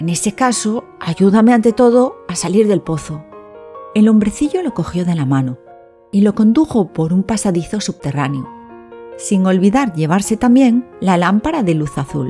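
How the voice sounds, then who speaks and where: With music in the background, a woman speaks in a soothing, calm tone at a moderate pace. Her medium pitch swings very widely. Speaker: storyteller. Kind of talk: sleep story.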